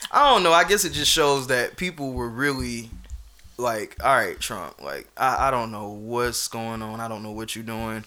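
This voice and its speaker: With a plain, everyday voice, a man of medium pitch talks at a moderate pace, his intonation lively and his loudness swinging widely. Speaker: podcast host. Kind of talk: casual chat.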